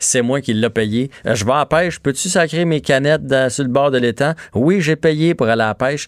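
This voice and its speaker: At a moderate pace and fairly high pitch, a man talks with ordinary pitch variation in a very clean recording with a silent background and a dry, close sound with no echo. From rural Quebec. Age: 40s. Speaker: radio host. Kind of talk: casual chat. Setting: studio.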